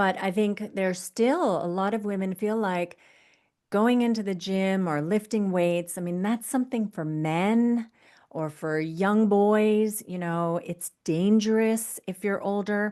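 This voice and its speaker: A woman speaks in an American accent, her tone dark and mellow. Her pace is fairly slow, with ordinary pitch variation. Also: medium pitch for a woman. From US. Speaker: fitness coach. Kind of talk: interview.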